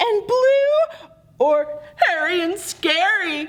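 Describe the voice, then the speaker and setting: A woman puts on a squeaky character voice at an extremely high pitch. She speaks very slowly, her pitch swinging very widely. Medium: read story.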